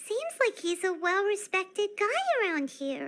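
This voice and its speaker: A squeaky, put-on character voice at an extremely high pitch and a moderate pace. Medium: video game. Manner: chatty, casual.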